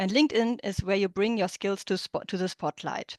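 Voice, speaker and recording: Against a quiet background, a woman with a German accent speaks with ordinary pitch variation. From Germany. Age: 30s. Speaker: interpreter and business coach. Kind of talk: online workshop presentation. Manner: halting, with many fillers and restarts.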